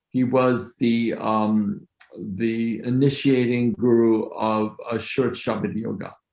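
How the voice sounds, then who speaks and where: In a medium pitch, a man speaks at a very slow pace with fairly even intonation. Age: 60s. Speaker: mastermind group leader. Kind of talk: casual chat.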